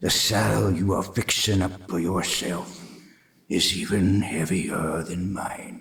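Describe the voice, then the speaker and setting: This is a put-on character voice with a raspy sound. The pace is fairly slow. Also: man, very deep, low pitch for a man. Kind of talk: radio drama. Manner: solemn, warning.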